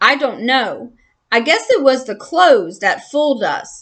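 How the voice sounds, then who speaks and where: A woman puts on a character voice at a high pitch and a moderate pace against a quiet background. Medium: read story. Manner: meek, hesitant.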